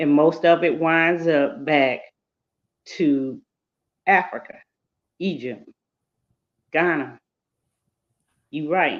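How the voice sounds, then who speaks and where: Pausing long and often, a woman speaks at a very slow pace with ordinary pitch variation. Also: fairly low pitch for a woman. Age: 60s. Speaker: panelist. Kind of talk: casual panel discussion.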